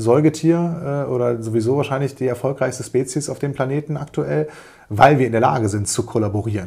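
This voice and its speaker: This man has a medium pitch and a dark, mellow tone, slightly breathy, with ordinary pitch variation at a moderate pace. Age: 40s. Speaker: business coach and podcast host. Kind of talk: solo podcast monologue. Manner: hesitant fillers.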